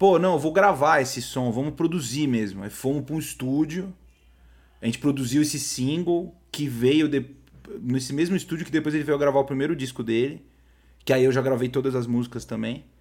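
In a very clean recording with a silent background, a man speaks at a moderate pace and a fairly high pitch, with ordinary pitch variation and long, frequent pauses. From São Paulo, Brazil (Zona Norte). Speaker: music producer and composer. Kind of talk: casual interview chat. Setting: studio. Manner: hesitant with frequent repetitions.

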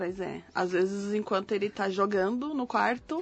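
A plain, everyday voice speaks at a fairly slow pace with ordinary pitch variation. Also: woman. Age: 30s. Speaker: podcast co-host. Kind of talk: casual chat.

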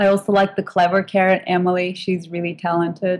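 In a Turkish accent, a woman speaks at a moderate pace and medium pitch. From Turkey. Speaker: food blogger and photographer. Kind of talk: casual interview chat.

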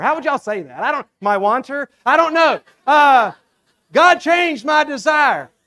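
In a Southern US accent, the speaker uses a raised, projected voice at a fairly slow pace with lively intonation, the sound dry and close with no echo. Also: man. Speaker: preacher. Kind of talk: sermon. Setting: church.

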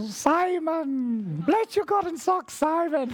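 The speaker puts on a character voice. The delivery is very slow. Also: female-sounding voice, extremely high pitch for a woman. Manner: warm, kindly.

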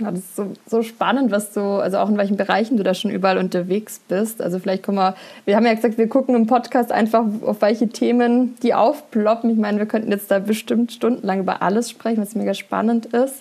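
A woman talks at a very fast pace. Her voice is fairly high in pitch, with a dark, mellow tone. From southern Germany, Upper Swabia. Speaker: podcast host and coach. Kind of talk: casual interview. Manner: animated.

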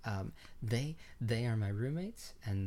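A man's normal speaking voice, fairly low in pitch, with lively intonation at a fairly slow pace. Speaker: student filmmaker, podcast co-host. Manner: playful, joking.

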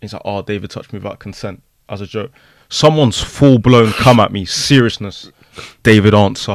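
Over a silent background in a very clean recording, a man with a London accent talks at a fairly low pitch and a moderate pace, with ordinary pitch variation and big swings in loudness. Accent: London, multicultural London English. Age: young. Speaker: social media personality. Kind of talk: casual chat.

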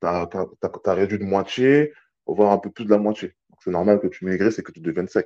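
A man with a dark, mellow tone and fairly low pitch speaks at a fairly quick pace, with big swings in loudness and ordinary pitch variation against a quiet background. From French Guiana. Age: 30s. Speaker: army fitness instructor. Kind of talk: casual interview. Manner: calm, not loud; hesitant, many fillers.

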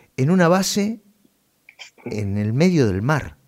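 At a very slow pace, a man with an Argentine accent speaks with very wide pitch swings. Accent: Rioplatense Argentine Spanish. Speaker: radio host. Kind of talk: interview.

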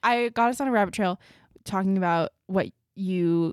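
A woman's unremarkable speaking voice at medium pitch, dry and close with no echo, in a very clean recording with a silent background. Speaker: podcast host. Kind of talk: casual chat.

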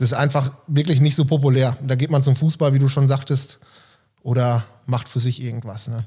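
A man's tone is dark and mellow, and somewhat breathy. He keeps his intonation fairly even. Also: medium pitch for a man, moderate pace. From Germany, East Westphalia (Delbrück/Hövelhof area). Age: 30s. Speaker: volunteer firefighter and gym member. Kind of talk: casual interview.

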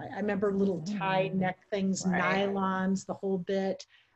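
A woman's normal speaking voice, a medium pitch, and a fairly slow pace. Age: 50s. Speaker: podcast co-host. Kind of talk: casual chat.

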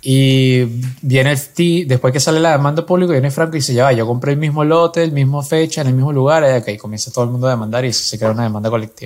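Amid noticeable background noise, a man talks at a very fast pace with medium pitch and ordinary pitch variation. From Venezuela. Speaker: podcast co-host. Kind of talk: casual chat.

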